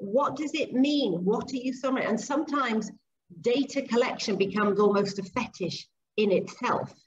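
A woman speaks with a high pitch. Light background noise can be heard. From Zambia and Papua New Guinea. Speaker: speech and language therapist and behaviour analyst; behaviour analyst. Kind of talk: interview. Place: kitchen. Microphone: webcam.

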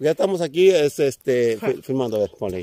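The voice moves at a fairly quick pace with very wide pitch swings, recorded dry with no echo. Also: man. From Mexico, Michoacán (Llano Grande); Michoacán, Mexico. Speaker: video blogger. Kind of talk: casual vlog tour. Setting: outdoors. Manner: animated. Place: open country. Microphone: phone near.

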